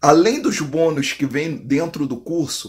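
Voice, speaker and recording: A man's very slow delivery, with ordinary pitch variation, against a quiet background. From Brazil. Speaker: online drywall course instructor. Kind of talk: direct-to-camera sales pitch, promo. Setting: video to camera, online. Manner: warm, persuasive, friendly. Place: home room. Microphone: phone near.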